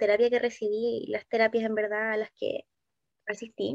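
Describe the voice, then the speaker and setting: The sound is dry and close, with no echo. A woman talks at a fairly slow pace. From southern Chile (Valdivia). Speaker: psychologist and career consultant. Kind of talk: interview.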